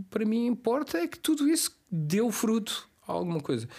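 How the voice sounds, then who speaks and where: A man's voice with very wide pitch swings. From Cape Verde. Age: 50s. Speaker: podcast guest. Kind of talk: casual chat. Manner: halting.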